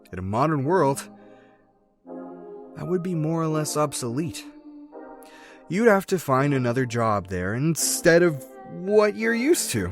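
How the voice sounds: In a put-on character voice, a man speaks at a fairly high pitch and a fairly slow pace, making big pitch swings. Long, frequent pauses break his speech, with faint music in the background.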